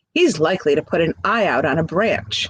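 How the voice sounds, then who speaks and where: A put-on character voice at a middle pitch sounds whiny. The pace is fairly quick. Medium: read story. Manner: whining.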